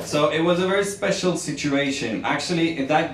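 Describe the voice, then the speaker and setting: A man talks at a moderate tempo with ordinary pitch variation, audible room echo and noticeable background noise surrounding him. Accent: Norwegian. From Norway. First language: Norwegian. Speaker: journalist and author. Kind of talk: book presentation speech. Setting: embassy event with audience. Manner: halting, with fillers.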